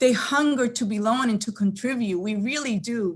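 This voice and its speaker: On a very clean recording with a silent background, a woman speaks at a fairly slow pace in a somewhat breathy, fairly high voice with ordinary pitch variation. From Dominican Republic. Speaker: state legislator. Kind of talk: committee testimony. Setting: legislative committee hearing. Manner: formal.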